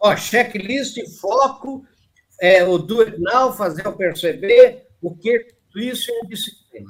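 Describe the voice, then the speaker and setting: The delivery is at a very slow pace, with ordinary pitch variation and big swings in loudness. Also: man, high pitch for a man. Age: 70s. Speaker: anthropologist, writer and speaker. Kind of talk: interview.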